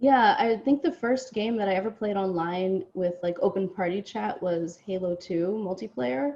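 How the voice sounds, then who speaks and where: A woman uses a normal speaking voice at medium pitch and a moderate pace, with hardly any pauses. Her intonation is lively. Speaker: video game industry professional. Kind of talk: interview.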